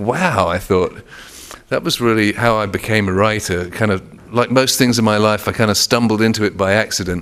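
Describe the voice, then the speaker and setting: A man speaks with an English accent. His loudness stays very even. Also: fairly low pitch for a man, ordinary pitch variation, fairly quick pace. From England. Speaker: author. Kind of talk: author talk. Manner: halting, with frequent repetitions.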